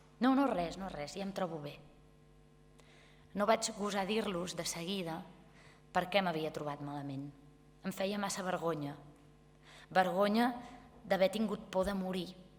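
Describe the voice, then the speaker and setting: Noticeable background noise sits under fairly slow speech broken by long, frequent pauses. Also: woman, medium pitch for a woman, ordinary pitch variation. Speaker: actress. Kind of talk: literary reading. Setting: live event.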